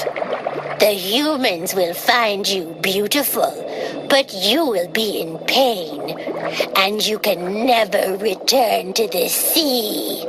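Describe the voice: Over loud background noise, a woman uses a croaky, put-on character voice at medium pitch and a very slow pace.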